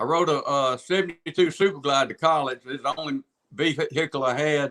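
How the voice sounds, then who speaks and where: This man's bright, sharp voice keeps a fairly even intonation. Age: 60s. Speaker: singer-songwriter. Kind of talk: casual chat.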